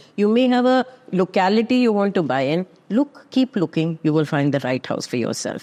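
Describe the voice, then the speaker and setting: Very wide pitch swings from a woman at a moderate pace, over noticeable background noise. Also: medium pitch for a woman, dry, close sound with no echo. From Kerala, India. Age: 60s. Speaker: real estate expert. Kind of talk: podcast interview.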